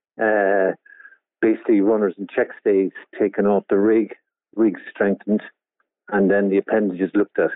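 A man's flat, monotone speech at a moderate pace, fairly low in pitch, with long, frequent pauses. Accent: Cork. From Cork, Ireland. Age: 60s. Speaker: yacht owner and skipper. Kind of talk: interview. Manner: halting, repetitive.

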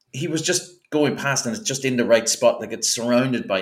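Speaking at a fairly quick pace, a man talks with an Irish accent. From Ireland. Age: 40s. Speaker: podcaster. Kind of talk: casual chat.

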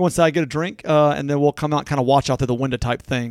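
With a Southern US accent, a man talks at a very fast pace in a fairly high pitch with fairly even intonation, the sound dry and close with no echo on a very clean recording with a silent background. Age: 40s. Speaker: local podcast co-host. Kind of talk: casual chat.

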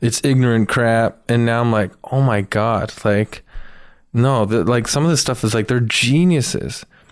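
A man with an unremarkable speaking voice, medium in pitch, at a fairly slow pace, with ordinary pitch variation and very even loudness, in a very clean recording with a silent background. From Canada, Toronto (Etobicoke). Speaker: comedian. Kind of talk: casual chat.

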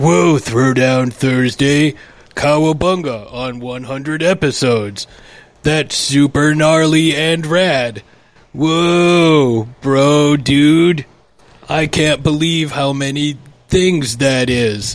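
Adopting a put-on character voice, a man talks at a very slow pace with a fairly high pitch. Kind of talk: dude-bro slang. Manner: goofy, exaggerated, incompetent.

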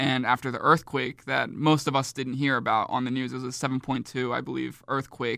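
A man with a medium-pitched voice, vocal fry and a bright, sharp tone talks at a fairly quick pace in a flat, monotone delivery. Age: 20s. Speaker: filmmaker and university student. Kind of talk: casual interview chat. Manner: halting, with fillers and repeated words.

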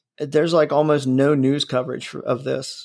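A man speaks in a normal speaking voice with an American accent. His pitch is fairly high and his pace moderate. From US Midwest (Ohio). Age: 40s. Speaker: podcast host. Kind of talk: casual chat.

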